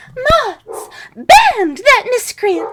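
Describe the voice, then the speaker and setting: Squeaky and extremely high, this put-on character voice is clearly an act. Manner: pompous.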